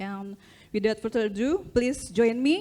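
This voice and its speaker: A woman talks at a moderate pace with a fairly high pitch. Her tone is dark and mellow, and her pitch variation is ordinary. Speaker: conference moderator. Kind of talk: formal introduction. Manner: formal.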